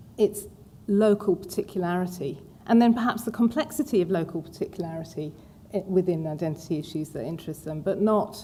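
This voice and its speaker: With an English accent, a woman talks at a fairly quick pace in a dark, mellow tone that is somewhat breathy. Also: medium pitch for a woman, lively intonation. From England. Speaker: museum director. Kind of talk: panel discussion.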